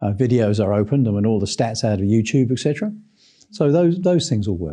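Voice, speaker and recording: A man of medium pitch talks at a very fast pace with lively intonation and a dark, mellow tone. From England. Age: 60s. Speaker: sales trainer. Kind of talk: interview.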